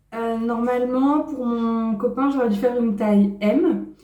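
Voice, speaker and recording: With audible room echo, a woman speaks very slowly in a high pitch with ordinary pitch variation. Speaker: sewing and knitting YouTuber. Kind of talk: casual vlog talk.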